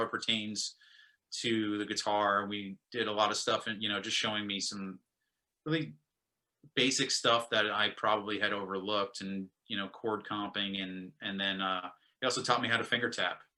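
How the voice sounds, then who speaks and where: Speaking at a moderate pace with an American accent, a man uses a bright, sharp tone and a fairly low pitch. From Brooklyn, New York. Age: 30s. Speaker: musician. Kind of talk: casual chat.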